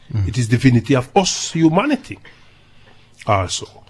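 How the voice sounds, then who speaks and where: A man with a Jamaican accent. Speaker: dub poet. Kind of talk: interview answer.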